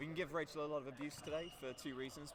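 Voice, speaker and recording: A man talks at a very fast pace. Noticeable background noise and audible room echo surround him. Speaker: student livestream commentator. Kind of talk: live commentary. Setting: courtside livestream. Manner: loud.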